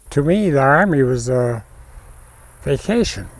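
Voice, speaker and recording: With an American accent, a man talks in a fairly high pitch while music plays in the background. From Montana, US. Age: 90s. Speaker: rancher and artist, war veteran. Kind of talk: documentary interview. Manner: halting with fillers.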